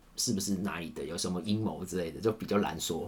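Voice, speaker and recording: Fairly quick speech from a man, pitched fairly low. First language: Cantonese (speaking Chinese). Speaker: camera operator. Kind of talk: casual chat.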